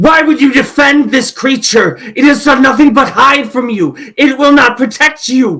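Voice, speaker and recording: In a put-on character voice, a man growls at an extremely high pitch, talking at a moderate pace with hardly any pauses. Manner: growling, angry, scornful.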